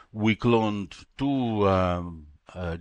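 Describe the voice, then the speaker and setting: Over a quiet background, a man speaks in a fairly low pitch with ordinary pitch variation. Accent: Italian. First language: Italian. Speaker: retired molecular biologist. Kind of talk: interview. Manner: halting.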